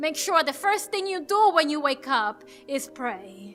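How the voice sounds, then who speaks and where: With music in the background, a woman projects a raised, high voice at a moderate pace with lively intonation. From Dominican Republic. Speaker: poet and actress. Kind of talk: spoken word poetry performance.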